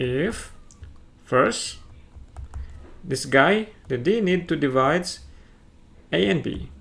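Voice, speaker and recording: A man speaks with an Indonesian accent. Room echo is audible. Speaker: math teacher. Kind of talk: lecture. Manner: halting.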